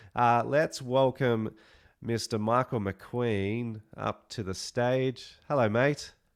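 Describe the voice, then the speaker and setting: In an Australian accent, a man speaks at a very slow pace. His medium pitch carries fairly even intonation. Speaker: webinar host. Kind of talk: online event hosting.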